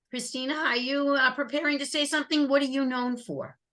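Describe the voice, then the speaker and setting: A woman speaks loudly. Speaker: customer service trainer. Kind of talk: webinar presentation. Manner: upbeat.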